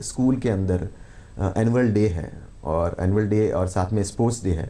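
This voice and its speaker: A man's dark, mellow tone and fairly low pitch come through at a moderate pace with ordinary pitch variation. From Rajasthan, Bikaner. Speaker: filmmaker and actor. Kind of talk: TV interview. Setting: TV studio, live morning show.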